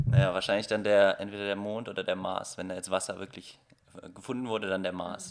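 Speaking at a fairly quick pace with fairly even intonation, a man with a fairly low pitch comes through over noticeable background noise. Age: 20s. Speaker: photographer and filmmaker. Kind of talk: casual interview.

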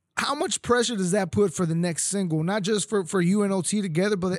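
A man speaks with a Texan accent. His pitch is high with ordinary variation. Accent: Texan English, little Spanish. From Mexico, raised in Texas. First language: Spanish. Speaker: podcast host. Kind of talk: casual interview. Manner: casual, laughs often.

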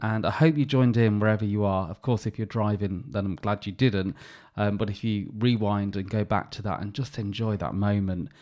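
A man's unremarkable speaking voice, fairly low in pitch, at a fairly quick pace with ordinary pitch variation. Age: 40s. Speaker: podcast host. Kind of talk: casual chat. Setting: video or remote call.

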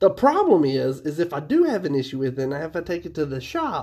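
Speaking with an Appalachian accent, a man uses a fairly high pitch and lively intonation at a fairly quick pace. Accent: Appalachian American English. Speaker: podcast co-host. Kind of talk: casual chat. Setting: call.

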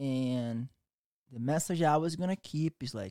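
A man with a Brazilian accent speaks in a dark, mellow tone with ordinary pitch variation. The sound is dry and close, with no echo. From Brazil, Rio de Janeiro. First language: Portuguese. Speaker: jiu-jitsu instructor. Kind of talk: casual interview chat.

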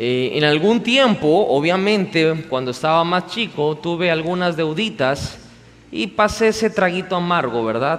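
A high-pitched man, fairly slow, with lively intonation. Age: 30s. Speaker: pastor. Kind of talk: sermon. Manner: animated.

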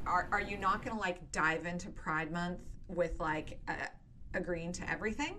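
The speech comes at a moderate pace with fairly even intonation, amid noticeable background noise and audible room echo. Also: woman, fairly low pitch for a woman. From Nova Scotia, Canada. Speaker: podcast host of a tabletop gaming show. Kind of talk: casual interview chat.

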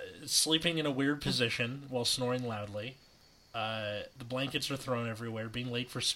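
Natural-voiced reading aloud.

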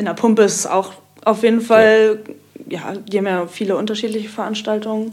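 Noticeable background noise sits behind a woman speaking at a fairly quick pace. Her fairly high voice has monotone, flat intonation. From Kiel. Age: 20s. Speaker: techno DJ and student. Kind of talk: casual chat.

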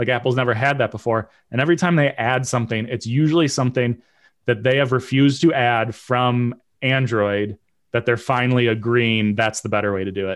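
An unremarkable speaking voice from a man, medium in pitch, with fairly even intonation at a fairly quick pace over a quiet background. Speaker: podcast co-host. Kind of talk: casual chat.

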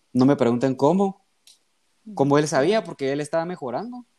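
Ordinary pitch variation in a man's speech. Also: dry, close sound with no echo. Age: 20s. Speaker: medical student. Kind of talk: casual chat.

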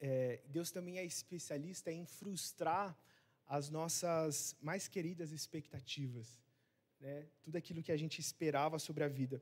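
A man speaks very slowly in a fairly high voice. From Rondônia, Brazil. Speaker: missionary preacher. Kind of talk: sermon. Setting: church service. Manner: hesitant, many fillers.

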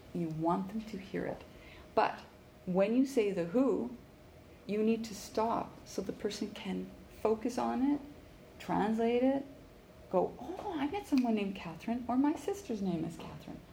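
A woman with a Western Canadian accent speaks at a moderate pace, fairly high-pitched, with lively intonation and long, frequent pauses. Noticeable background noise and audible room echo fill the recording. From Canada, Vancouver. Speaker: networking workshop presenter. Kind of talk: workshop lecture. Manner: animated, frequent laughter.

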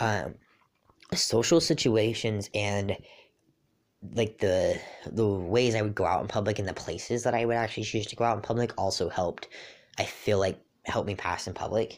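Long, frequent pauses break up a man's fairly low voice with ordinary pitch variation. He keeps a moderate pace in a very clean recording with a silent background. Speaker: podcast host. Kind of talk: casual chat. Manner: casual, with many filler words.

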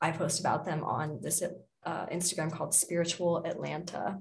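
The voice carries vocal fry and a monotone, flat intonation. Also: woman. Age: 20s. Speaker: Reiki practitioner and DJ. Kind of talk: casual chat.

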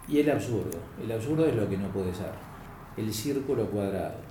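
A man is speaking with ordinary pitch variation. Audible room echo surrounds his voice. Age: 60s. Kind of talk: interview on philosophy.

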